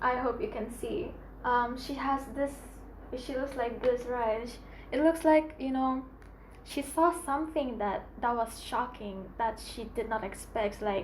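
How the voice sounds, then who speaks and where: In a room with audible echo, a woman speaks at a fairly slow pace and a high pitch. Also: ordinary pitch variation. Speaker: tarot reader. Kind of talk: tarot reading.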